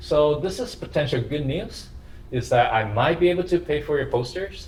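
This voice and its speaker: Here a man talks at a fairly slow pace. Audible room echo surrounds his voice. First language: not English. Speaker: university lecturer. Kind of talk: lecture. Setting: classroom with camera for online students. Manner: halting.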